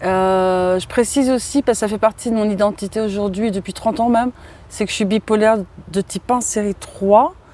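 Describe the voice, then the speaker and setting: A woman with a dark, mellow tone and medium pitch speaks at a moderate pace with ordinary pitch variation. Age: 40s. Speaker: interviewee sharing childhood abuse. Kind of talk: testimony. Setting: outdoors in a park. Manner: halting.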